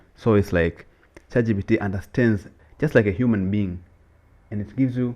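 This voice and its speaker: A man with an East African accent speaks at a fairly quick pace in a dark, mellow tone, fairly low in pitch with ordinary pitch variation. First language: Swahili. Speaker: podcast co-host. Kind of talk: casual chat. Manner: animated.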